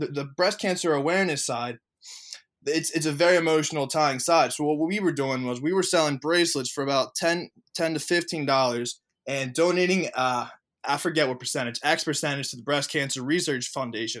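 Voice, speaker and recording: In a very clean recording with a silent background, a man with an unremarkable speaking voice talks at a fairly quick pace, his fairly high pitch showing ordinary variation. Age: 20s. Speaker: e-commerce entrepreneur and coach. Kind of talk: podcast interview.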